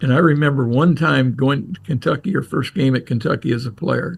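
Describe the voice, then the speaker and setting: Vocal fry runs through this lively, moderately paced delivery in an American accent. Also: man. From Ohio, Crestline. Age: 80s. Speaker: retired coach and athletic administrator. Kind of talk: casual interview storytelling.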